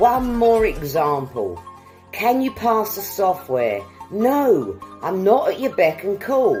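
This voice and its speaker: Music plays in the background as a woman speaks in an upbeat tone at a very slow pace. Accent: British. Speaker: English teacher. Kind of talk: language lesson to camera. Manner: upbeat, friendly.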